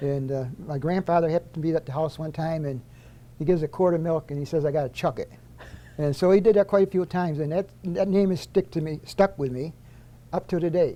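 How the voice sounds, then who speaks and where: Talking at a very fast pace, a man with an upstate New York accent has a dark, mellow tone. His pitch sits fairly high, with ordinary pitch variation. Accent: upstate New York American. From US Northeast, upstate New York (Auburn). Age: 70s. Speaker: retired corrections official. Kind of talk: casual interview.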